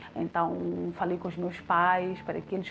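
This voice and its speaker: A woman speaks with music in the background. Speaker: radio presenter. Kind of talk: testimony.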